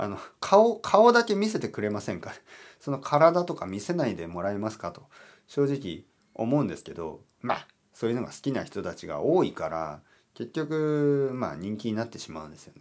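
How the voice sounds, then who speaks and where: A man speaks at a medium pitch with very wide pitch swings. His loudness rises and falls in big swings. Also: moderate pace, very clean recording, silent background. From Japan, Oita. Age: 40s. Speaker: Japanese teacher podcaster. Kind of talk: casual solo talk for learners.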